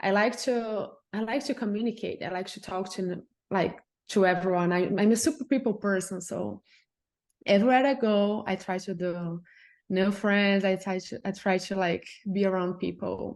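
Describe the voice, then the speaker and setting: Against a quiet background, the speaker uses a Brazilian accent at a moderate pace. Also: woman, medium pitch for a woman, ordinary pitch variation. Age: 20s. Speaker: journalist. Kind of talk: casual interview chat.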